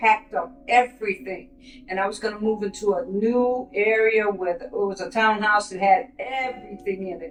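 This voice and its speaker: Fairly high in pitch, a woman speaks at a moderate pace with hardly any pauses and fairly even intonation, though her loudness swings a lot. Noticeable background noise is present. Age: 60s. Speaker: program resident, nurse. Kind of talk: testimony. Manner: halting.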